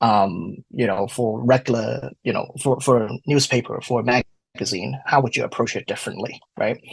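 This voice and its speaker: Using vocal fry, a man speaks at a medium pitch and moderate pace with ordinary pitch variation in a dry, close sound with no echo. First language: not English. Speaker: wine diploma graduate and study group moderator. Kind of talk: podcast interview. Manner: hesitant, many fillers.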